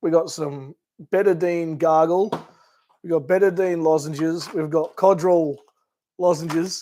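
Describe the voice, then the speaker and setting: In an Australian accent, a man with a high pitch speaks at a fairly slow pace in a monotone, flat intonation, leaving long, frequent pauses. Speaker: camping and 4WD YouTuber. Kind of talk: livestream chat. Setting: live stream. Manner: casual, halting with fillers.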